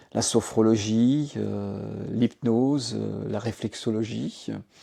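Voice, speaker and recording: Medium in pitch, this man has a dark, mellow tone. His pitch varies in an ordinary way. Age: 60s. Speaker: sound therapy practitioner, former business executive. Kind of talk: testimony. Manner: halting, many filler hesitations.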